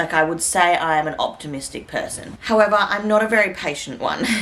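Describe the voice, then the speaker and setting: With an Australian accent, a woman speaks at a moderate pace in a fairly low pitch with lively intonation. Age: 20s. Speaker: vlogger. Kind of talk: casual vlog talk to camera.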